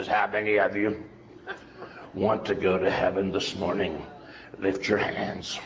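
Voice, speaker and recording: In a put-on character voice, a man speaks hoarse and gruff at a fairly low pitch, fairly slow with long, frequent pauses, monotone and flat, at very even loudness, over clear background noise. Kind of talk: sermon. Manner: commanding, preaching.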